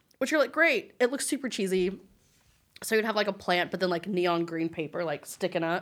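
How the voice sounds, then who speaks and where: A normal speaking voice from a woman with an American accent, medium in pitch, at a fairly quick pace with lively intonation, on a very clean recording with a silent background. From West Texas. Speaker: teacher, former florist shop worker. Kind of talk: casual chat.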